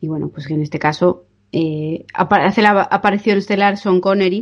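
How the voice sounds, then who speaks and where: Speaking at a moderate pace, a woman has an unremarkable speaking voice, fairly low in pitch with fairly even intonation. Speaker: podcast co-host. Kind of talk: casual chat. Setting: remote recording.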